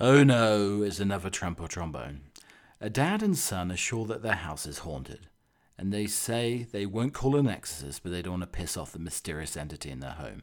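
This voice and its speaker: On a very clean recording with a silent background, a man with a British accent speaks at a fairly low pitch with very wide pitch swings and big swings in loudness. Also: moderate pace. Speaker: podcast host. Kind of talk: casual chat, comedic monologue. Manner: chatty, humorous, rambling.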